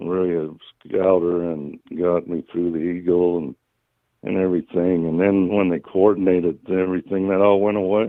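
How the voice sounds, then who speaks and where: Flat, monotone delivery at a moderate pace with a Utah accent. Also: man, very deep, low pitch for a man. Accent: Utah American. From northern Utah, Cache Valley. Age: 70s. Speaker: caller. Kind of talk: phone-in conversation. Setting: phone call. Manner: halting.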